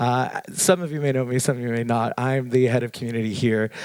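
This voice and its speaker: Very fast speech from a man at a medium pitch, over noticeable background noise. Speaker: community manager, event host. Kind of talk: event hosting speech. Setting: stage with audience. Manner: animated.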